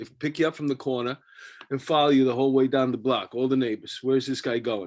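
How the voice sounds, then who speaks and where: Speaking at a very fast pace with fairly even intonation, a man talks with a New York accent. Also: medium pitch for a man. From New York City, Astoria Queens. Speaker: podcast host. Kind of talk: casual chat.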